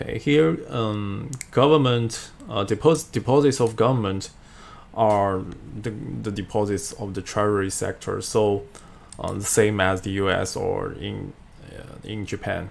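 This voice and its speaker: Speaking in a Chinese accent, a man with a fairly low voice talks at a fairly slow pace with ordinary pitch variation. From China. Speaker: finance video creator; economics lecturer. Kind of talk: tutorial. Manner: halting, many fillers. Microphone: webcam.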